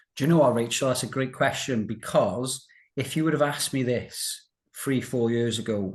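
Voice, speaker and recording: With a Welsh accent, a man speaks at medium pitch with ordinary pitch variation. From South Wales, Newport. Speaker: financial services director and recovered colitis patient. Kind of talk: interview about personal health recovery.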